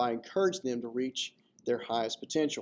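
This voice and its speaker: A man talks at a fairly quick pace at a medium pitch. He has an unremarkable speaking voice. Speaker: middle school history teacher. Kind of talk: school presentation narration.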